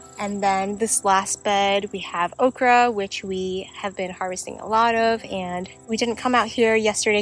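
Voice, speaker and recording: Music plays in the background as a woman with an American accent speaks at a fairly slow pace. Her pitch is medium and her intonation fairly even. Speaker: homesteader and gardening vlogger. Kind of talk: casual garden tour vlog. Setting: outdoors in garden.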